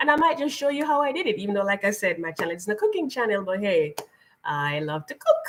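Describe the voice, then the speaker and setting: Very wide pitch swings mark this voice in a Jamaican accent. The pace is very fast. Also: woman, medium pitch for a woman. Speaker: lifestyle channel host. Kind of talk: live stream chat.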